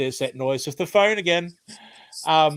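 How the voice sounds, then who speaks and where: A man speaks with an Australian accent. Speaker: retired chef and cooking/gardening channel host. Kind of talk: live stream chat with viewers. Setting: home, live stream. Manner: casual, many fillers (um).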